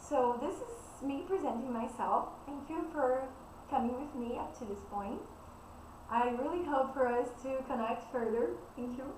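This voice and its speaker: With a Brazilian Portuguese accent, a woman speaks at a high pitch and a fairly slow pace with ordinary pitch variation, over noticeable background noise and audible room echo. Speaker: spiritual coach. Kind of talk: spiritual talk / self-introduction.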